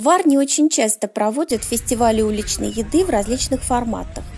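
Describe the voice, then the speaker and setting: A woman talks at a moderate pace while faint music sounds in the background. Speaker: travel vlogger. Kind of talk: casual vlog chat. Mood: pleased, upbeat. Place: street.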